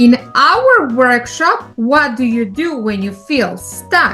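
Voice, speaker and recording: This is a put-on character voice. Faint music plays in the background. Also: female-sounding voice. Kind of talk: children's educational promo.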